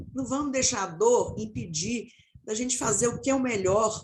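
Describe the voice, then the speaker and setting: Speaking at a fairly slow pace, a woman with a fairly high pitch uses lively intonation and vocal fry. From Minas Gerais, Brazil. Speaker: marketing professional turned people/diversity specialist. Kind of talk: panel discussion closing remarks.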